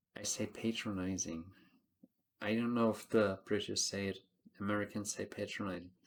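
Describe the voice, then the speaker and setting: A man with a non-native accent and a fairly low pitch speaks with long, frequent pauses. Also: moderate pace. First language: not English. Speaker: TV show reviewer. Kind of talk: casual review monologue. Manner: animated.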